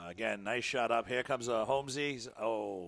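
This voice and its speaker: With a Rhode Island accent, a man talks at a moderate pace in a medium pitch with ordinary pitch variation, on a very clean recording with a silent background. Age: 50s. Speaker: sports commentator. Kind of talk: live commentary.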